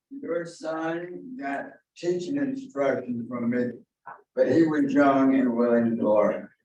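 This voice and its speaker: A very slow, fairly high male voice with lively intonation and audible room echo. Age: 70s. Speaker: real estate agent. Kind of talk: casual chat.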